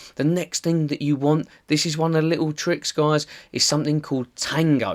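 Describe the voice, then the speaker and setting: In a strong Essex accent, a man speaks at a fairly quick pace and fairly high pitch, dry and close with no echo on a very clean recording with a silent background. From Essex, England. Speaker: online marketing tutor. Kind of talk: tutorial. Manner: casual, conversational.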